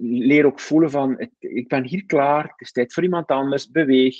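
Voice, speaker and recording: The speaker is a man with fairly even intonation. He goes at a fairly slow pace. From West Flanders, Belgium. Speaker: coach and author. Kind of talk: casual interview conversation. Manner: reflective, hesitant with many fillers.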